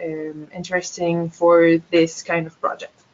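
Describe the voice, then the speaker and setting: With a French-Canadian accent, a woman with a fairly low pitch speaks at a fairly slow pace. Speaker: biologist and project manager. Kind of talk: presentation. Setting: webinar. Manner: hesitant.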